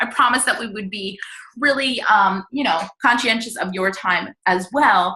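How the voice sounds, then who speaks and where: The speaker is a woman with a fairly high voice. Her pitch moves in a normal way. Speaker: health and fitness coach. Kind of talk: group video call presentation. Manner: fast.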